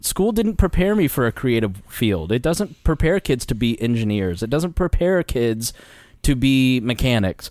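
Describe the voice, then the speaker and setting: Pitch swings very widely at a moderate pace. Loudness stays very even throughout. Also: man. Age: 30s. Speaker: libertarian podcast host. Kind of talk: casual chat. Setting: studio.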